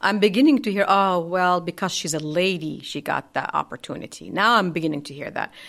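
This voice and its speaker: Recorded very cleanly against a silent background, a woman with a fairly low pitch speaks with an Arabic accent. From Saudi Arabia, Hail (northern). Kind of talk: interview. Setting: studio.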